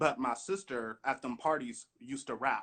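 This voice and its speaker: The speaker is a man with an American accent. He has a bright, sharp tone. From Michigan, Grand Rapids. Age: 20s. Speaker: rapper. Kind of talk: casual interview. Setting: Instagram live video call.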